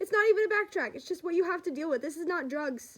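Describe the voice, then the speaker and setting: Words tumble out very fast from a female speaker. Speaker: vlogger sharing mental health story. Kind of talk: casual vlog talk to camera. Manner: loud; rambling, halting with fillers.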